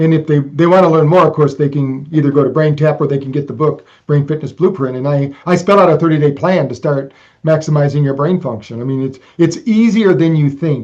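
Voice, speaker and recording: At a fairly quick pace, a man talks in a normal speaking voice, fairly high pitched, with ordinary pitch variation. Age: 60s. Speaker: brain fitness technology creator. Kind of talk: interview conversation.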